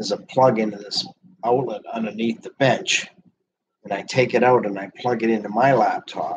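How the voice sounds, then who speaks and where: At a moderate pace, a man with a medium pitch speaks with ordinary pitch variation. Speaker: livestreamer. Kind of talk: casual chat. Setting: live video stream. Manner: soft-spoken.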